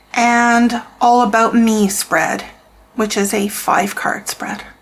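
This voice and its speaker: Very slow, monotone woman's voice with flat intonation and fairly high pitch, over noticeable background noise. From Canada. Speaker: tarot reader and deck reviewer. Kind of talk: product review flip-through. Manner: casual, with frequent repetitions and fillers.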